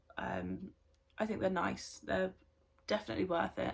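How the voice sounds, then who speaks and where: With a British accent, this speaker delivers the words fairly quickly. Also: woman. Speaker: beauty vlogger. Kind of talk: casual vlog chat. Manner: hesitant, many filler ums.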